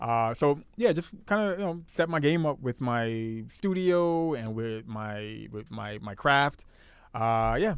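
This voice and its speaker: Here a man talks at a medium pitch. He goes at a very slow pace. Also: lively intonation. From Brooklyn, New York. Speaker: podcast host. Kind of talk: casual chat.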